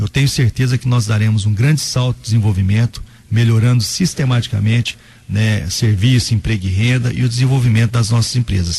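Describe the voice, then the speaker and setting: A man's medium-pitched, dark, mellow voice, somewhat breathy, at a fairly quick pace, with very even loudness and ordinary pitch variation. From Brazil, Goiás (Inhumas). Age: 30s. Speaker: mayor-elect and lawyer. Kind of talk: radio interview. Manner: halting, with fillers and repetitions.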